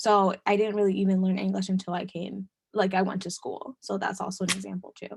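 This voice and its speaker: A woman talks at a fairly quick pace in a somewhat breathy voice. Her intonation is monotone and flat, and the sound is dry and close with no echo. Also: medium pitch for a woman. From US, Dominican family. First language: Spanish. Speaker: webinar presenter. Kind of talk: webinar presentation. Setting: online webinar. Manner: hesitant, many fillers.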